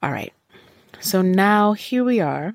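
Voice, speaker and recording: In a very clean recording with a silent background and a dry, close sound with no echo, a woman speaks fairly slowly in an animated tone with ordinary pitch variation. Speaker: podcast host. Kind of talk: solo rant, casual podcast monologue. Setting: solo podcast recording. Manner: animated, venting, conversational.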